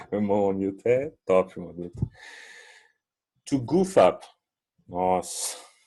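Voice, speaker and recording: Very slowly, with long, frequent pauses and big swings in loudness, a man speaks in a fairly low pitch with a dark, mellow tone and ordinary pitch variation. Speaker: English teacher. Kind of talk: online class. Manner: casual, hesitant.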